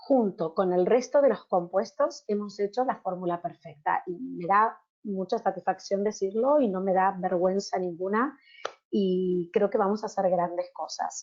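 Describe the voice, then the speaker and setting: Pitch moves in an ordinary way. The speech comes at a fairly slow pace. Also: woman, medium pitch for a woman. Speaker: pharmaceutical researcher presenting a product. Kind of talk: webinar presentation. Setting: online webinar. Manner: animated.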